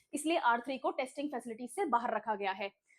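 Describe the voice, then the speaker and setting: A woman speaks with a high pitch. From Rajasthan, India. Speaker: online exam-prep teacher. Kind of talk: online lecture.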